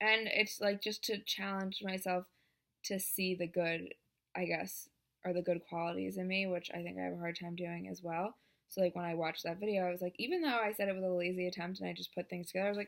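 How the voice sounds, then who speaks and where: On a very clean recording with a silent background, a woman speaks at a fairly quick pace in a medium pitch with monotone, flat intonation and long, frequent pauses. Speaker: vlogger. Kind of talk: casual vlog monologue. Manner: talking loudly; hesitant, many fillers.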